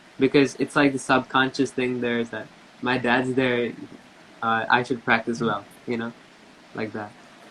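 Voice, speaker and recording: With an American accent, a man speaks at a medium pitch and a moderate pace, his intonation monotone and flat, broken by long, frequent pauses. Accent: slightly Americanized Indian speech. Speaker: tabla player. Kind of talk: interview.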